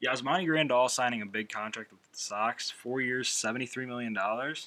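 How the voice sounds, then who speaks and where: This man speaks at a very fast pace with lively intonation and a medium pitch. His tone is bright and sharp. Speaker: sports podcast host. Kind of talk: solo sports podcast commentary. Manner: casual, conversational.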